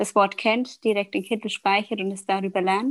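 The background is silent in this very clean recording. A woman talks at a medium pitch. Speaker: communications manager. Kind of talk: casual interview, exam-style discussion practice. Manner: hesitant, many filler sounds.

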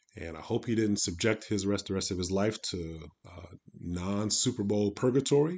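Using an American accent, a man talks at a fairly low pitch and a moderate pace, with ordinary pitch variation and big swings in loudness. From US Midwest. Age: 50s. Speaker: football coach and podcast host. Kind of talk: casual solo sports commentary. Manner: many filler words, hesitant.

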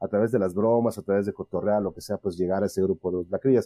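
A man with a Mexican accent, a fairly low pitch, and a dark, mellow tone, in a dry, close recording with no echo. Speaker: podcast host. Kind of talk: casual chat.

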